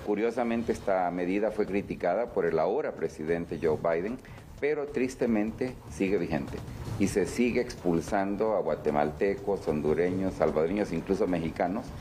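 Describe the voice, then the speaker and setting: A man's fairly low voice at a moderate pace, ordinary pitch variation, and music playing in the background. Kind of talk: interview answer. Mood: serious, critical. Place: office. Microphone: handheld.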